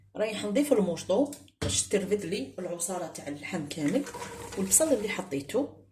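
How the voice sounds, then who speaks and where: A woman with an Algerian accent speaks with very wide pitch swings. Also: medium pitch for a woman, moderate pace. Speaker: cooking video host. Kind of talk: cooking tutorial. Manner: casual.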